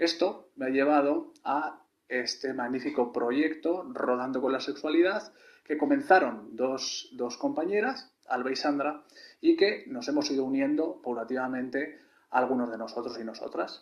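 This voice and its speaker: This man has an unremarkable speaking voice with a fairly high pitch. He talks at a fairly slow pace with ordinary pitch variation. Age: 30s. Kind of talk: video testimonial.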